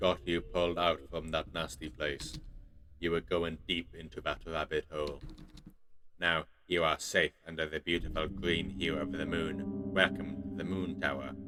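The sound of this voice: Very deep and low, a man's put-on character voice moves at a moderate pace.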